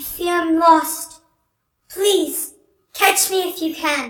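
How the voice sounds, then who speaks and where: An extremely high-pitched, put-on character voice at a very slow pace, with a slight echo. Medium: actual play. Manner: slow, otherworldly, sorrowful.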